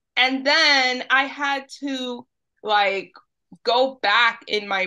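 A woman with a New York accent speaks in a bright, sharp tone with ordinary pitch variation against a quiet background. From New York City, Dominican family. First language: Spanish. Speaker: social media creator on Dominican Spanish. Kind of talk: casual interview.

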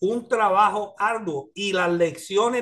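Against a quiet background, a man with a high pitch speaks at a very slow pace with ordinary pitch variation. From US, New York (Spanish Harlem); New York. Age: 50s. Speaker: pastor and teacher; pastor, teacher. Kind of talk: bible study class. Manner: hesitant with filler sounds. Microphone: video call.

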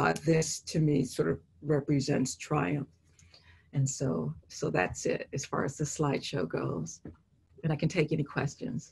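In an American accent, a woman talks at a fairly slow pace with a very deep, low pitch, very wide pitch swings and vocal fry. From Los Angeles. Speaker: painter; artist giving a lecture. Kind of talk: artist lecture with Q&A. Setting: video call. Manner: halting, many fillers. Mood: reflective, warm. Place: home room. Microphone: video call.

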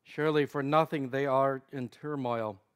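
This man speaks at a fairly slow pace. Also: quiet background. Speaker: prayer service leader. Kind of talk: morning prayer service, liturgical reading and prayer. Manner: formal, reverent; fervent, earnest prayer delivery. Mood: calm, solemn. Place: church.

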